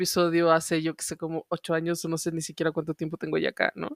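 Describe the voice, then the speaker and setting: In a Guanajuato accent, a woman speaks at a fairly low pitch, the sound dry and close with no echo on a very clean recording with a silent background. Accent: Mexican regional accent from León, noticeable. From Mexico, León, Guanajuato. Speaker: podcast co-host. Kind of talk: casual chat.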